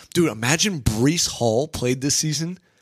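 In a very clean recording with a silent background, a man's unremarkable speaking voice moves at a moderate pace with ordinary pitch variation. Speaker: sports podcast host. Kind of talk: casual sports talk podcast. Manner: joking, playful banter.

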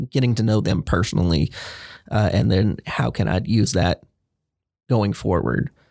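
On a very clean recording with a silent background and a dry, close sound without echo, a man talks at a fairly slow pace and a fairly low pitch, using vocal fry and ordinary pitch variation. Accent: American. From Central Texas (Waco area). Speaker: director of imaging at emergency rooms. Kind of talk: interview.

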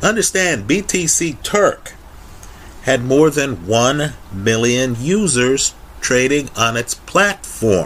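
A man at medium pitch, speaking at a very slow pace with very wide pitch swings. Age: 50s. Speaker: YouTube finance commentator. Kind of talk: solo video monologue.

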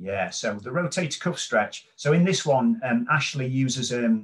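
A somewhat breathy man with a British accent at a moderate pace, with ordinary pitch variation. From United Kingdom. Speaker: physiotherapist and author. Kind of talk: interview.

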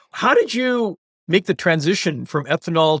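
A man with a normal speaking voice and fairly high pitch talks at a moderate pace with lively intonation, the sound dry and close with no echo. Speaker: radiologist and guest podcast host. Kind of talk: interview.

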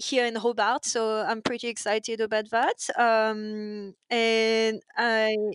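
A woman with a French accent and fairly even intonation, against a quiet background. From France. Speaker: waitress. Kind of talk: casual chat. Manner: halting.

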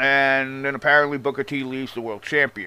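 A man with a strong Long Island accent, animated and fairly quick, in a bright, sharp tone. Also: very clean recording, silent background. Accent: strong Long Island New York. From Long Island, New York. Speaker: wrestling commentary YouTuber. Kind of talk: opinionated rant, casual commentary. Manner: animated, profane, sarcastic.

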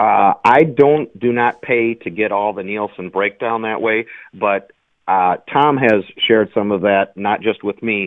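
A man's ordinary speaking voice, fairly low in pitch, at a fairly slow pace with ordinary pitch variation. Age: 50s. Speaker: bowling writer. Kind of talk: radio interview.

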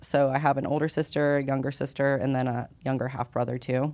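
With an American accent, a woman speaks in a very deep, low voice on a very clean recording with a silent background. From US Midwest, rural Ohio. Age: 20s. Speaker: holistic health coach and veteran. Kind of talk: casual interview.

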